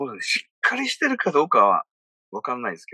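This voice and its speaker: A man talks at a fairly quick pace. The sound is dry and close, with no echo. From Okinawa, Japan. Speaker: radio personality and business producer. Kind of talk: casual interview.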